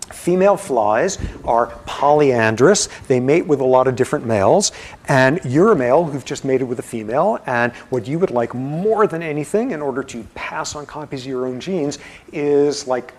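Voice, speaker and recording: Against noticeable background noise, a man talks at a moderate pace with lively intonation and a fairly high pitch. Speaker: university professor. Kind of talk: lecture. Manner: mumbling; animated.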